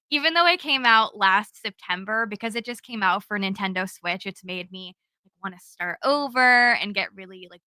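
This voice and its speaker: A woman's bright, sharp, animated and energetic tone at a moderate pace, with ordinary pitch variation. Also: dry, close sound with no echo. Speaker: cozy gaming content creator. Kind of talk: casual podcast chat. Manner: loud, energetic.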